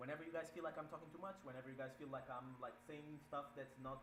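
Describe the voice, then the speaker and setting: A man's voice sits at a medium pitch, varying in an ordinary way, with audible room echo and noticeable background noise around it. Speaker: gaming streamer. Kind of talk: tutorial. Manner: fast.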